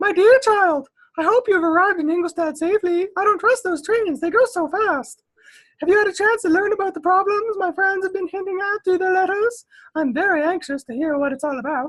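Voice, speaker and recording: This female-sounding, put-on character voice goes extremely high in pitch and moves at a fairly quick pace. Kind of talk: motherly, fussy. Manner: warm, anxious.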